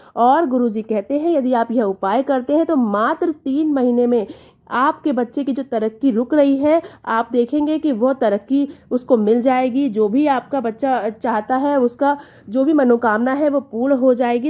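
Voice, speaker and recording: The woman's voice is pitched high. Its pitch shifts in a normal way. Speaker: devotional vlogger. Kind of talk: devotional tutorial.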